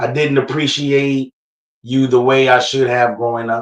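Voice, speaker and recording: Monotone, flat intonation at a fairly slow pace. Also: man. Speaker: spoken word poet. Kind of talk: spoken word poetry reading. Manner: heartfelt, reflective.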